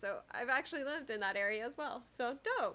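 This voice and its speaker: A woman with an American accent has a bright, sharp tone and a high pitch. She speaks at a moderate pace. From Texas. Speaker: programming live streamer. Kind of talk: live stream chat with viewers. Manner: casual, hesitant.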